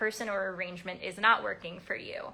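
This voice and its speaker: A woman is speaking. Her tone comes across bright and sharp. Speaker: codependency recovery coach. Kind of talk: live stream talk. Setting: live video stream. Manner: animated; fast.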